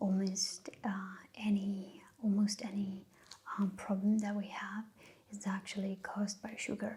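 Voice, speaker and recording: Soft-spoken and at a fairly slow pace, the speaker has a non-native accent and takes long, frequent pauses. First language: not English. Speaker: ASMR creator. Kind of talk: soft-spoken ASMR talk. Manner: halting.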